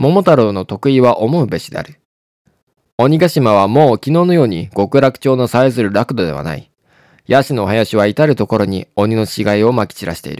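A man talks in a plain, everyday voice at a medium pitch and moderate pace. His intonation is lively, his loudness swings widely, and the sound is dry and close with no echo. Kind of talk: literary audiobook reading, scripted narration of a classic short story. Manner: formal, measured storyteller's delivery.

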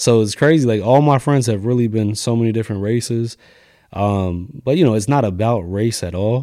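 With an American accent, a man talks at a medium pitch in a dark, mellow tone. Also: ordinary pitch variation, moderate pace, very clean recording, silent background. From Lancaster, Pennsylvania. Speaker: barber and barbershop owner. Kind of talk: casual interview.

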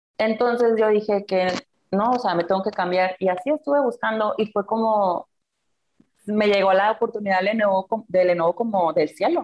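This woman has an ordinary speaking voice, medium in pitch, with ordinary pitch variation. She keeps a moderate pace and very even loudness. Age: 20s. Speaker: student and corporate employee. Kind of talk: casual interview chat.

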